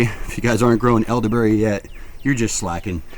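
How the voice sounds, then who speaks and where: A man with a fairly low pitch speaks at a very fast pace amid noticeable background noise. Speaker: plant nursery owner. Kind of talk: casual video tour. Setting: outdoors in plant nursery. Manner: casual, filler-heavy; keeping voice down.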